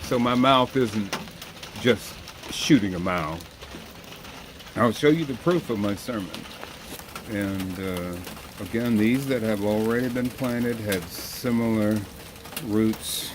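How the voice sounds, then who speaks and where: Long, frequent pauses break up very slow speech, with noticeable background noise present. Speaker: home gardener. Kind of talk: gardening tutorial. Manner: casual, hesitant.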